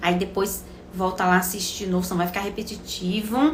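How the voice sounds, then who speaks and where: Against noticeable background noise and audible room echo, a woman talks with fairly even intonation. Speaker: obstetrician-gynecologist. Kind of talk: live stream Q&A health talk. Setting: live stream.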